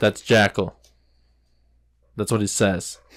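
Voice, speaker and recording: This is a man with a fairly low pitch. His intonation is monotone and flat. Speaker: podcast co-host. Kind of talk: casual chat. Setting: small home studio. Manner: slow.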